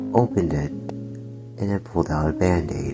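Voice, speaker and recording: Over music in the background, a man with a very deep, low voice speaks at a moderate pace. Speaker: ASMR roleplay narrator. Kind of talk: ASMR roleplay story narration.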